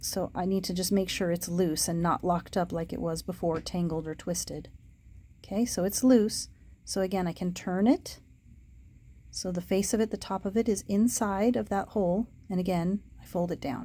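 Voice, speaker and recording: A woman's somewhat breathy voice, dark and mellow in tone, at a moderate pace with ordinary pitch variation, on a very clean recording with a silent background. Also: medium pitch for a woman. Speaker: puzzle ring seller demonstrating solutions. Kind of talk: tutorial. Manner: casual.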